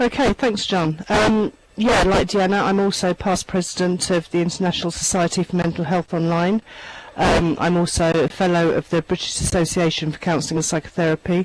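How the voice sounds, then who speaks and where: Over noticeable background noise, a woman talks at a fairly quick pace with a fairly low pitch. Her loudness is very even, with ordinary pitch variation. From London. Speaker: online therapy trainer. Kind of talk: panel introduction in online town hall. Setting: virtual meeting.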